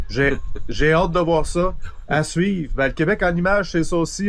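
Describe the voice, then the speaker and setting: This is a man with an ordinary speaking voice. He talks at a moderate pace with ordinary pitch variation. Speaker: video host. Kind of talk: interview. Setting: outdoors.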